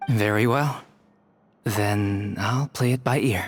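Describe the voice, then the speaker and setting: A man uses a put-on character voice, raspy and deadpan, at a medium pitch. He talks at a fairly slow pace with fairly even intonation. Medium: video game. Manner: soft-spoken, deadpan.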